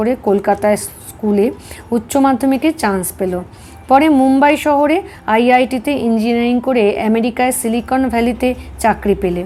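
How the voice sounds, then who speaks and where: Noticeable background noise sits behind this woman. She speaks at a high pitch with ordinary pitch variation. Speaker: spiritual book reader. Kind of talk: audiobook reading of spiritual text.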